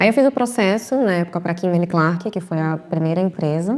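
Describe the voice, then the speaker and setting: Her pitch fairly low, a woman delivers her words at a fairly quick pace. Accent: Recife. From Recife, Pernambuco, Brazil. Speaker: marketing executive. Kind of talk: podcast interview.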